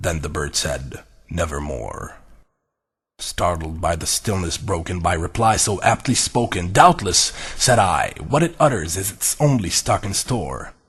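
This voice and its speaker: A man's fairly slow speech comes through over a quiet background. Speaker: voice over actor. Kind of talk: movie trailer voice reading of a poem (audiobook style); poetry reading.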